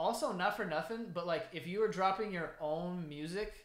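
A man speaks with a high pitch and a fairly bright tone. His pace is fairly slow, with ordinary pitch variation.

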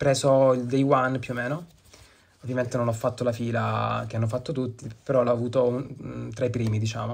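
At a fairly quick pace, a medium-pitched man speaks with monotone, flat intonation. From Lecce, southern Italy. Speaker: watch collector. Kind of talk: recorded video presentation.

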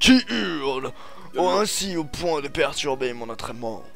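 A man uses a put-on character voice at medium pitch and a fairly slow pace. Clear music plays in the background. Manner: furious.

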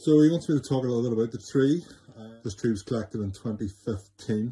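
A man speaks at a very fast pace with medium pitch, ordinary pitch variation and big swings in loudness. His tone is dark, mellow and somewhat breathy. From Northern Ireland. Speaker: bonsai grower. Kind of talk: recorded video explanation. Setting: self-recorded video.

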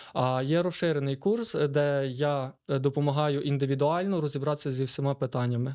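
A man with a fairly high pitch speaks at a moderate pace, with hardly any pauses and very even loudness. He has an unremarkable speaking voice and fairly even intonation. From Lviv Oblast, western Ukraine. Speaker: entrepreneur. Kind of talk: interview.

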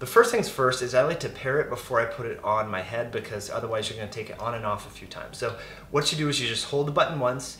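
A man at a very fast pace, with audible room echo and light background noise. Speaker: product reviewer. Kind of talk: tutorial. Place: kitchen.

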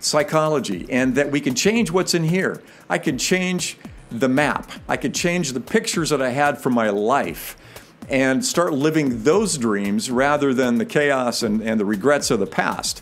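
Over music in the background, a man talks at a fairly slow pace with very wide pitch swings. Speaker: life coach vlogger. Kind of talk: personal story monologue. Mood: reflective, warm. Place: home room. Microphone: studio mic.

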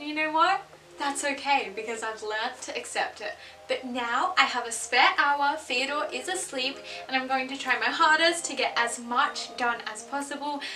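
A woman speaks in a raised, projected voice at a moderate pace. Her pitch varies in an ordinary way, with clear music in the background. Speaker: home vlogger. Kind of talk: casual vlog chat. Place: home room. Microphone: camera far.

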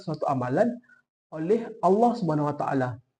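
Against a quiet background, a man with a dark, mellow tone and fairly high pitch speaks with lively intonation. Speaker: university student. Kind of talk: class presentation. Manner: formal.

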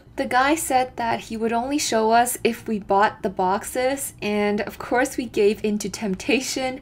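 Ordinary pitch variation and a fairly slow pace from a female speaker. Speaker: travel vlogger narrating. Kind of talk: casual vlog narration.

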